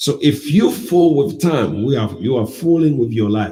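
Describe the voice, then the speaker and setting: Audible room echo carries a man's fairly high, somewhat breathy voice with a dark, mellow tone. He speaks fairly slowly, with very wide pitch swings. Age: 50s. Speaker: pastor. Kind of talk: sermon.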